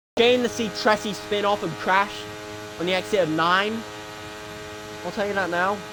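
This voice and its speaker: Noticeable background noise sits under the recording. A man talks at a moderate pace, pausing often and at length. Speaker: sim racing commentator. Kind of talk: live commentary. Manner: energetic, pushed voice.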